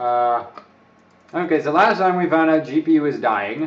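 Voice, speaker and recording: Noticeable background noise sits behind a man speaking at a fairly slow pace. His pitch is fairly high, with a slight British accent. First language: not English. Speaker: overclocking live streamer. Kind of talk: live stream chat with tutorial. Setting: live stream. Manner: casual, rambling.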